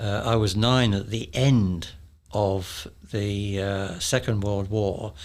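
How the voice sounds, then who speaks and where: In a southern English accent, a man with a fairly low pitch speaks very slowly and with fairly even intonation, with audible room echo. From London suburbs, England. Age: 80s+. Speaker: retired electronics engineer. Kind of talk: interview storytelling.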